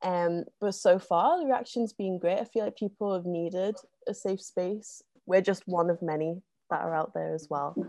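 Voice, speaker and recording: A woman speaks at a fairly low pitch with a dark, mellow tone. Her pace is moderate and her pitch variation ordinary. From London, then Liverpool from 2007. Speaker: zine co-founder, arts organiser. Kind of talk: interview. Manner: hesitant, many ums.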